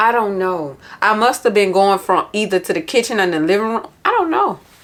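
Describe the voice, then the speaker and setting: A woman speaks loudly at a medium pitch. Her delivery is animated and moves at a moderate pace. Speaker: planner vlogger. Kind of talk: casual vlog chat. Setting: home office.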